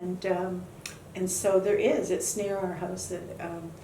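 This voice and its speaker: With audible room echo and noticeable background noise around her, a woman talks in a flat, monotone way at a medium pitch. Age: 70s. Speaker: bereaved mother of a fallen soldier. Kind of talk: interview. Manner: halting, with many fillers.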